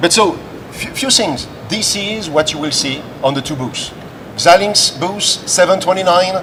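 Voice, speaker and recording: Amid noticeable background noise, a man with a French accent speaks at a fairly slow pace and a high pitch with ordinary pitch variation. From France. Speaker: tech company director presenting. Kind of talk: live trade show presentation.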